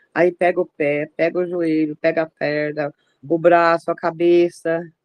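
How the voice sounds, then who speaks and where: A woman's fairly low voice, fairly slow and monotone with flat intonation, in a dry, close sound with no echo. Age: 60s. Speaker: worshipper. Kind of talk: testimony. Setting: video call.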